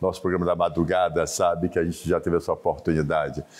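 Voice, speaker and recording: A man talks at a fairly quick pace. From Brazil, Bahia (Salvador). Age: 60s. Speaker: business association president. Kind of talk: TV interview.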